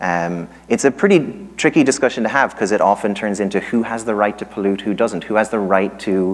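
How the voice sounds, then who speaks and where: A man with an Irish accent speaks at a fairly quick pace with hardly any pauses. His pitch is fairly low, with ordinary variation. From Ireland. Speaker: economics professor. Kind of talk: lecture. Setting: stage with audience. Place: hall. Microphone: handheld.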